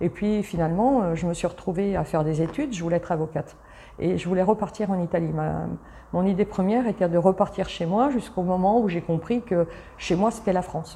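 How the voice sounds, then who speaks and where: Ordinary pitch variation at a fairly quick pace. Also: woman, medium pitch for a woman. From Italy, moved to Paris suburbs as a child. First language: Italian (speaking French). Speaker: travel company founder. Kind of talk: interview. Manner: animated; halting.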